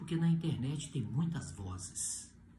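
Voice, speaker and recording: With a dark, mellow tone and a somewhat breathy quality, a man talks at a moderate pace with lively intonation as room echo is audible. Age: 60s. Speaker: pastor. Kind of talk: sermon.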